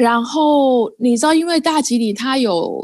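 A woman's animated tone with lively intonation. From Taiwan. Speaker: Taiwanese living in India, Hindi learner. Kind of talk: casual chat.

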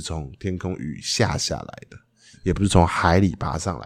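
A man's very deep, low voice with vocal fry, fairly slow and with ordinary pitch variation, on a very clean recording with a silent background. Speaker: podcast co-host, improv performer. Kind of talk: casual chat; improvised role-play as youtubers. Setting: recording outside a rehearsal space, noisy background.

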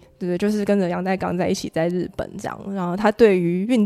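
A woman's voice at a very fast pace. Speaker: podcast host. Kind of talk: casual interview chat.

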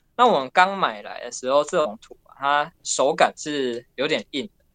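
The sound is close and dry, without any echo. A man talks with lively intonation. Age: 20s. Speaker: miniature clay food artist. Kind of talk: interview answers. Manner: calm, reserved.

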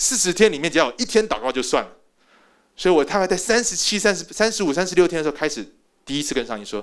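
High-pitched, a man talks at a very fast pace. His pitch swings very widely. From Taiwan. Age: 40s. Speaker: pastor. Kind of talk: sermon.

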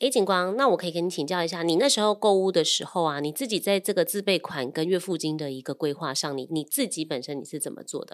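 A woman talks at a very fast pace with hardly any pauses and lively intonation. Her pitch is fairly low, on a very clean recording with a silent background. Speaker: loan manager and podcast co-host. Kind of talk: casual chat.

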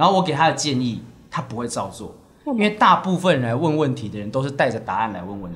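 Over noticeable background noise, a man with a medium pitch talks very fast, his pitch swinging very widely and his loudness rising and falling sharply. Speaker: stand-up comedian and podcast co-host. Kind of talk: casual chat.

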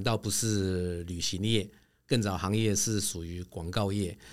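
An ordinary speaking voice with ordinary pitch variation comes through on a very clean recording with a silent background. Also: man. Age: 50s. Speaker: travel company executive. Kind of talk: interview.

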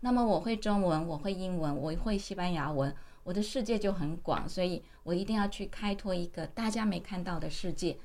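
Audible room echo surrounds a woman's voice of medium pitch. She talks at a moderate pace with ordinary pitch variation. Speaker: university vice president and author. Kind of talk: interview.

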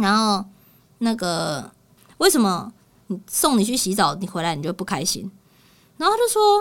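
With a Taiwanese accent, a woman speaks at a moderate pace and medium pitch, using lively intonation and long, frequent pauses. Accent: Taiwanese Mandarin. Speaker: podcast host and pet communicator. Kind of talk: casual chat. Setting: studio. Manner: animated.

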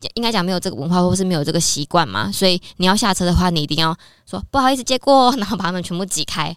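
The recording is very clean, with a silent background and a dry, close sound with no echo. The speech moves at a very fast pace with lively intonation. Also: woman, medium pitch for a woman. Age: 30s. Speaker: Korean-Chinese translator. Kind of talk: casual interview chat.

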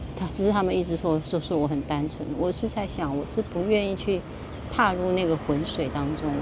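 Speaking at a fairly quick pace, a woman has a fairly low pitch and ordinary pitch variation. Audible room echo and noticeable background noise fill the recording. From Taiwan, Kaohsiung. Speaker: podcaster, former teacher. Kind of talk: casual monologue. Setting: outdoors at a harbor. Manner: halting, frequent repetitions.

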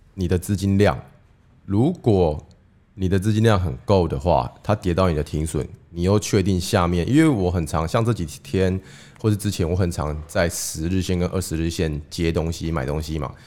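A man talks at a moderate pace with a very deep, low pitch. His tone is dark and mellow, with ordinary pitch variation. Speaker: investing podcast co-host. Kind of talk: casual chat. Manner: lowered voice.

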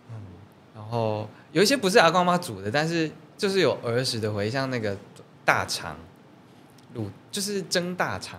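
A man talks at a medium pitch, with very wide pitch swings and big shifts in loudness. He leaves long pauses, and often. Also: moderate pace. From Taiwan, Taichung coastal area. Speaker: singer-songwriter. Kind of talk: interview. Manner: halting.

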